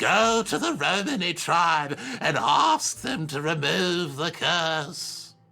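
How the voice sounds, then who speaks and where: A man puts on a character voice at a high pitch. He speaks very slowly. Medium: video game. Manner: gruff, curt, scoffing.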